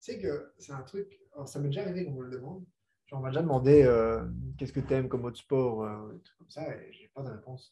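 At a very fast pace, a man speaks in a dark, mellow, somewhat breathy tone at medium pitch, with ordinary pitch variation and big swings in loudness. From Belgium. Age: 20s. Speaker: professional boxer. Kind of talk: casual chat.

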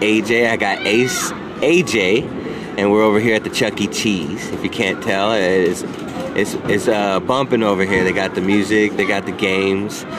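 A man with a fairly low pitch speaks at a moderate pace in an upbeat tone. Noticeable background noise runs underneath. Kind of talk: radio DJ patter: sponsor shout-outs, then a fantasy football draft talked through live. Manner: upbeat, chatty, friendly hype-man energy with filler 'um's and casual asides; rambling, thinking aloud pick by pick as he drafts.

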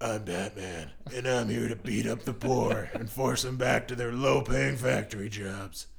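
A man talks at a moderate pace in a put-on character voice with lively intonation. Clear background noise runs underneath. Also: medium pitch for a man. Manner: gravelly, brooding.

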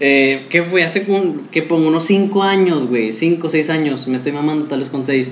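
In a room with audible echo, a man speaks at a fairly high pitch and a moderate pace, with ordinary pitch variation and hardly any pauses. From Mexico City. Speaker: podcast host. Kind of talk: casual chat.

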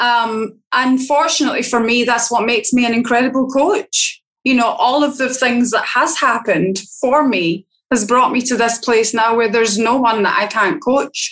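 A woman speaks at a high pitch and moderate pace. Her loudness is very even, and her pitch variation is ordinary. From Scotland. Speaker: podcast host and leadership coach. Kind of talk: interview conversation.

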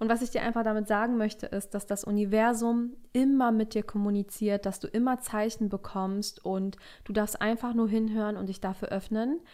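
Her fairly high voice has a dark, mellow tone and flat, monotone intonation. The woman keeps a moderate pace with hardly any pauses. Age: 20s. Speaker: life coach. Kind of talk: solo podcast monologue.

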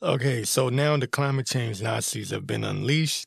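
Animated and somewhat breathy, a man with an American accent talks at a moderate pace and medium pitch with ordinary pitch variation. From Washington, D.C. area. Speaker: political commentary podcaster. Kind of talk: opinion monologue.

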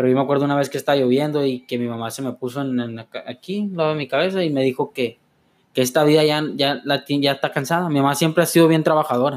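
At a very fast pace, a man's fairly high voice races along. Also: fairly even intonation. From Los Mochis, Sinaloa, Mexico. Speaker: clinic administrative assistant, recovering addict. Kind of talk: testimony. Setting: studio.

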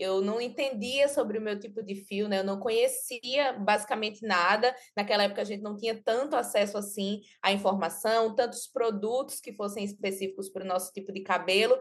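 In a plain, everyday voice, a woman with fairly high pitch speaks at a fairly quick pace with fairly even intonation and hardly any pauses. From Pernambuco interior, Brazil. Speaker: journalist and content creator. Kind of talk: podcast interview.

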